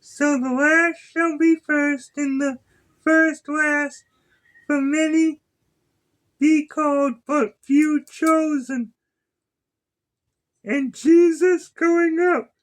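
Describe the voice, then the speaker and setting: Putting on a squeaky character voice, a man speaks at an extremely high pitch and a very slow pace with long, frequent pauses. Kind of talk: King James Bible reading. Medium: solo performance. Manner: measured, occasionally stumbling and self-correcting.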